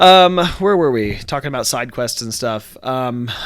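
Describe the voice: Lively intonation marks this man's fairly bright tone. His pitch sits at a medium level, and his pace is fairly slow.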